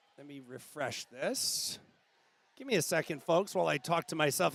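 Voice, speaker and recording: Loud and animated, a man speaks at a moderate pace and a fairly high pitch with vocal fry, in a dry, close sound with no echo. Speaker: swim meet livestream commentator. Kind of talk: live commentary. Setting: livestream from swimming venue.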